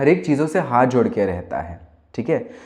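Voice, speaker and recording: A man speaks at a fairly high pitch. His voice makes very wide pitch swings. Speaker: singer-songwriter. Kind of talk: casual monologue. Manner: halting.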